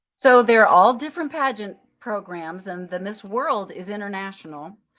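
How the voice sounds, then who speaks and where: With an American accent, a woman talks at a moderate pace in a medium pitch, her intonation lively and her loudness swinging widely. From Minnesota, rural. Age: 60s. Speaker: retired music teacher and senior pageant queen. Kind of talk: casual interview chat. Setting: podcast interview. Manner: halting, many false starts.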